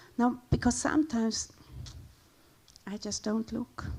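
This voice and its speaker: A woman speaks at a moderate pace in a dark, mellow tone. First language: Romansh. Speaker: linguist and guest speaker. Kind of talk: lecture presentation. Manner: halting, with frequent repetitions and fillers.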